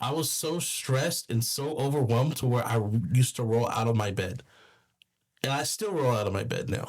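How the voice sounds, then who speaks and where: A man talks at a fairly quick pace with an American accent. His voice is medium in pitch, somewhat breathy, and shows ordinary pitch variation. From California, Bakersfield. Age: 30s. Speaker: rapper and film crew foreman. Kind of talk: casual interview chat. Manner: halting, many repetitions and false starts.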